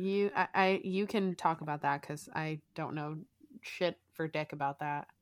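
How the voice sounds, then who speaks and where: With an American accent, a woman talks at a fairly slow pace in an unremarkable speaking voice, fairly low in pitch, the sound dry and close with no echo. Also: ordinary pitch variation. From South Florida. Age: 20s. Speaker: podcast co-host. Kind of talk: casual chat.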